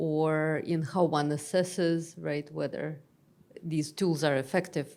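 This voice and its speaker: On a very clean recording with a silent background, a woman with a Russian accent speaks at a fairly slow pace. Her very deep, low pitch and dark, mellow tone carry a monotone, flat intonation. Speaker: academic expert speaker. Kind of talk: panel Q&A discussion.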